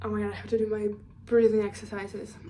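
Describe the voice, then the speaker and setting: Audible room echo surrounds a woman as she speaks. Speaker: career vlogger. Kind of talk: casual monologue vlog. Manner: rambling, self-correcting with fillers.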